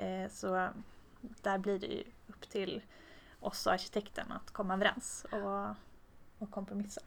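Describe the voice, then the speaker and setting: A woman speaks at a fairly slow pace with long, frequent pauses. Her loudness swings widely. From Tornedalen, northern Sweden (Haparanda). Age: 30s. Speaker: structural engineer. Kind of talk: interview. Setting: office meeting room.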